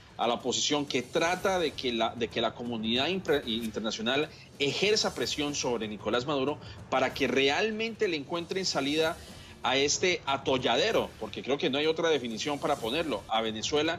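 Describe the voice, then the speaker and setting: This man, fairly high in pitch, speaks at a moderate pace with music in the background. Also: lively intonation. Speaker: political analyst. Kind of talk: TV news interview answer, formal commentary. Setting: TV news program.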